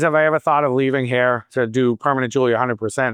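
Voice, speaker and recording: His pitch sits in the middle range for a man. A man talks, the pitch shifting in an ordinary way. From Boston, US Northeast. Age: 50s. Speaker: salon owner and hairstylist. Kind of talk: Q&A talk at a coaching event.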